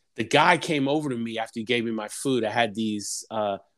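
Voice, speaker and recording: An unremarkable speaking voice from a man, medium in pitch, at a moderate pace with ordinary pitch variation. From New York City. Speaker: podcast host. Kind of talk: casual interview chat.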